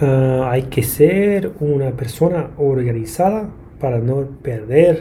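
Pitched fairly high, a man speaks at a very slow pace. His pitch variation is ordinary. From Brisbane, Australia. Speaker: translator and language teacher. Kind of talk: interview.

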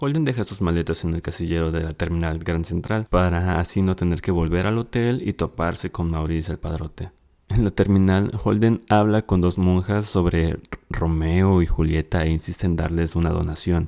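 Very deep, low-pitched man's voice with a dark, mellow tone, ordinary pitch variation and a moderate pace. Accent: Mexican. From Mexico. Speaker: book podcast host. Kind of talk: book summary monologue.

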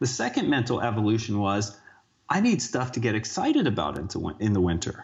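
Somewhat breathy delivery from a man, with very wide swings in pitch. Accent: American. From United States. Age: 40s. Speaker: fitness coach and author. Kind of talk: interview.

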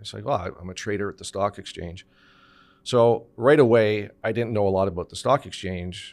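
A man with a Montreal accent at a fairly low pitch and moderate pace, with ordinary pitch variation and big swings in loudness, on a very clean recording with a silent background. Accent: Anglo-Montreal Canadian English. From Montreal's West Island, Quebec. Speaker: portfolio manager. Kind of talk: casual chat.

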